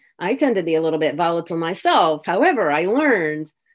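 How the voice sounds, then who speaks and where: At a fairly quick pace, a woman with a Midwestern American accent speaks in a fairly low pitch with lively intonation. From US Midwest (Minnesota, Indiana). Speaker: author and retired French teacher. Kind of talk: interview. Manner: halting.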